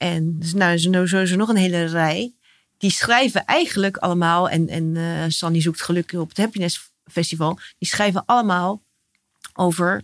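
Her intonation is fairly even and her pace moderate, in an ordinary speaking voice. The woman's pitch sits fairly low for a woman. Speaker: podcast host. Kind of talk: interview, calm conversation.

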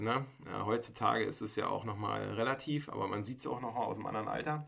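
Talking at a fairly quick pace, this man has an ordinary speaking voice and ordinary pitch variation. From Mecklenburg-Vorpommern, Germany. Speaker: podcast host. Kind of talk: casual chat.

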